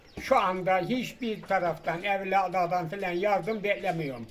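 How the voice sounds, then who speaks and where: Amid noticeable background noise, a man with a high pitch speaks at a fairly slow pace with ordinary pitch variation. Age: 90s. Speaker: retired carpenter and villager. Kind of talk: interview. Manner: short replies.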